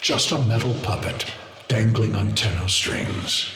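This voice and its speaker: A put-on character voice from a man, fairly low in pitch, with clear echo. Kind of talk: video game villain. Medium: video game. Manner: slow, cryptic, ominous.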